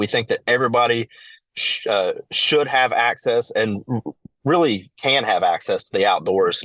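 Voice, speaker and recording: A man with a Kentucky accent speaks at a moderate pace, the sound dry and close with no echo. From eastern Kentucky. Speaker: outdoor education business owner. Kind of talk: podcast interview. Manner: halting, many fillers.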